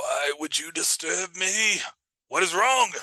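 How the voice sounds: A man puts on a character voice that is high and raspy. He talks at a fairly slow pace.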